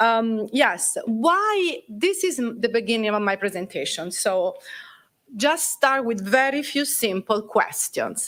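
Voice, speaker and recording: A woman with an Italian accent speaks at a fairly slow pace, her fairly high pitch making very wide swings. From Italy. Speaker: Italian language teacher and cultural center president. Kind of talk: presentation. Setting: council chambers at a festival.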